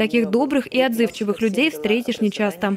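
A woman talks at a fairly quick pace with a fairly high pitch and ordinary pitch variation. Hers is a plain, everyday voice. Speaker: TV news reporter. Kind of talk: TV news report.

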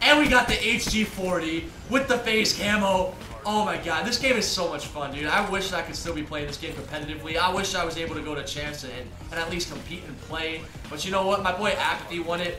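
Over noticeable background noise, a man speaks with lively intonation. His high voice moves at a fairly quick pace. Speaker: YouTuber and professional gamer. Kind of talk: gameplay commentary vlog. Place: home room. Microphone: headset.

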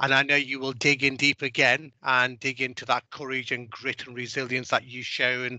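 Over a quiet background, a man with a bright, sharp tone speaks at a moderate pace, the sound dry with no echo. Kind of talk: speech to staff. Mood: warm, encouraging. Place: office. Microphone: headset.

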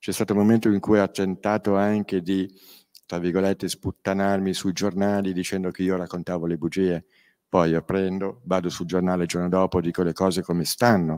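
A man speaks at a very deep, low pitch and a fairly quick pace, with monotone, flat intonation. The background is quiet. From Milan, northern Italy. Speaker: crime victim and author. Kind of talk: panel talk at a public event. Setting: stage with audience. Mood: earnest, firm, indignant at times. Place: hall. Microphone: handheld.

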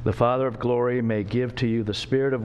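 Speaking at a fairly quick pace, a man talks. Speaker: preacher or Bible teacher. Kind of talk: sermon. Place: church. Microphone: podium.

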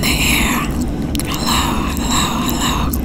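Words come out at a very slow pace from a woman. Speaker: ASMR creator. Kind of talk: ASMR whispered affirmations. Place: plane. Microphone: phone near.

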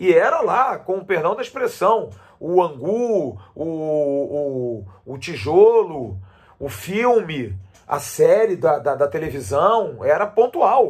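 Speaking at a very slow pace with a high pitch and very wide pitch swings, a man talks against a quiet background. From Brazil. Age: 50s. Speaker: sports commentator. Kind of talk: opinion monologue. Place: home room. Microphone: phone near.

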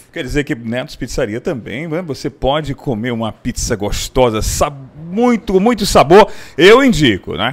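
A man speaks at a fairly slow pace in an animated tone. His pitch swings very widely. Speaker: promotional presenter. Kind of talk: street-pitchman style sales pitch. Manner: animated, excitable, hyped-up salesman patter with repetition; repeats phone number and catchphrases for emphasis. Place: cafe. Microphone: handheld.

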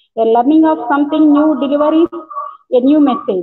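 There is light background noise. A woman talks in a high voice with ordinary pitch variation. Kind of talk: formal welcome speech. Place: office. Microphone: earbuds.

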